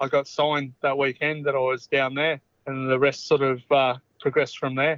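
A man speaks in an Australian accent. His pitch is fairly high. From Australia, Orange, country New South Wales. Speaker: former rugby league player. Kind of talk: interview. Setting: phone call. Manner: halting, many fillers and repeats.

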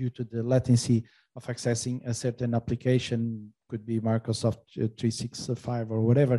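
A dark, mellow tone, somewhat breathy. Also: man, dry, close sound with no echo. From Portugal and Angola. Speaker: telecom sales executive.

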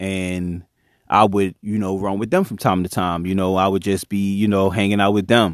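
A man with a fairly low pitch talks at a moderate pace. The recording is very clean, with a silent background and a dry, close sound with no echo. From Chester, Pennsylvania, US. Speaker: podcast host. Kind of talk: casual storytelling monologue.

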